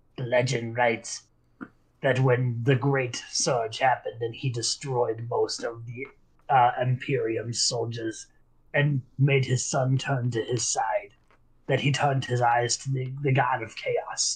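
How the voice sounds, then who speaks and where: A shaky, put-on character voice at a fairly slow pace. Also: man, medium pitch for a man. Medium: actual play. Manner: shaky, fearful.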